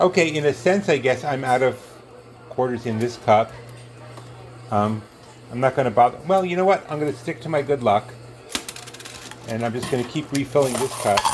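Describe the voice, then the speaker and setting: Noticeable background noise sits behind a man speaking at a medium pitch with ordinary pitch variation. He leaves long, frequent pauses. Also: fairly quick pace. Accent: New York. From New York. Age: 60s. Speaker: coin pusher video host. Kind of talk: casual commentary while playing an arcade game. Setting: arcade at a marina. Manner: halting, many fillers.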